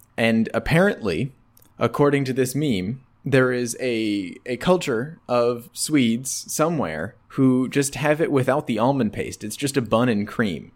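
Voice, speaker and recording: In a normal speaking voice, a man with an American accent speaks fairly slowly at a medium pitch with ordinary pitch variation. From rural Wisconsin, US. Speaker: podcast co-host. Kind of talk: casual chat.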